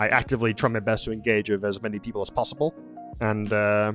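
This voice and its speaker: Over music in the background, a man talks very fast in a fairly low pitch. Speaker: streamer and podcast host. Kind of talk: casual podcast monologue. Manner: hesitant, stuttering.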